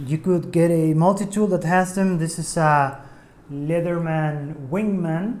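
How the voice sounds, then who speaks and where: The speaker has a non-native accent and keeps a fairly slow pace. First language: not English. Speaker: DIY tutorial maker. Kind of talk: tutorial. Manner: hesitant, many fillers.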